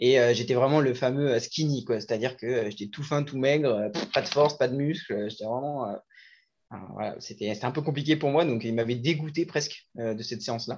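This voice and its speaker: Over a quiet background, a man uses an ordinary speaking voice at a moderate pace, with a medium pitch and ordinary pitch variation. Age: 20s. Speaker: fitness coach. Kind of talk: casual chat.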